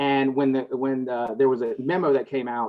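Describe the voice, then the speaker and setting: Someone speaks at a fairly quick pace in a Southern US accent. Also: man. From US South. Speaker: healthcare and cannabis business consultant. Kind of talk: panel discussion.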